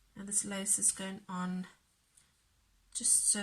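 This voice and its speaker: A soft-spoken woman talks at a fairly slow pace. Vocal fry runs through her voice. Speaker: crafting youtuber. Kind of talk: tutorial.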